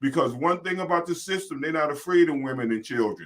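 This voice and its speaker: A fairly high-pitched man with an American accent and a bright, sharp tone. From Virginia. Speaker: talk show host. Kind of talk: casual chat. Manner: animated.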